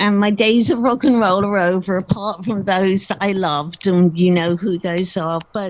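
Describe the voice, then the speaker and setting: A woman with an English accent speaks at a moderate pace with hardly any pauses. Her pitch is medium and her intonation fairly even. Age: 60s. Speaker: author, music biographer. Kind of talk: interview.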